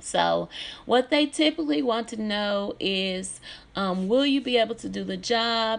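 This woman has a fairly high pitch. She talks at a fairly slow pace. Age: 40s. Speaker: nurse and podcast host. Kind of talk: casual monologue; job interview. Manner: halting, many fillers; laughs often when nervous.

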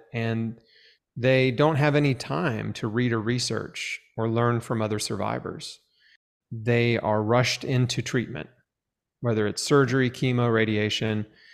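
A man talks with an ordinary speaking voice at a medium pitch and fairly slow pace. His intonation is fairly even, and the recording is very clean with a silent background. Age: 40s. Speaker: cancer survivor and author. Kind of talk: interview testimony.

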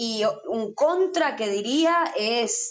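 This is a woman speaking. Her pitch makes very wide swings. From Argentina, Salta. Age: 20s. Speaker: singer-songwriter. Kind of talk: interview. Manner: halting, many repetitions.

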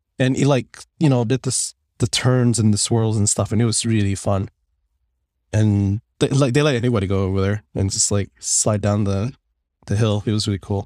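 His voice has a dark, mellow tone and fairly low pitch, moving at a moderate pace with fairly even intonation in a dry, close sound with no echo. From Finland. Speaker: gaming podcast co-host. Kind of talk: casual chat. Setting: remote recording from home.

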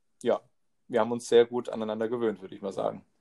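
Here a man speaks at a medium pitch. The sound is dry and close, with no echo. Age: 20s. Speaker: trainee teacher and podcast co-host. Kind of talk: casual chat.

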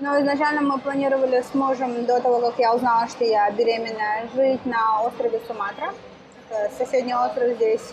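A woman at a moderate pace, high in pitch, with fairly even intonation and noticeable background noise. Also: very even loudness. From Russia, Kyrgyz family. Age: 30s. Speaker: vegan cafe owner. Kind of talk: interview. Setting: in her cafe.

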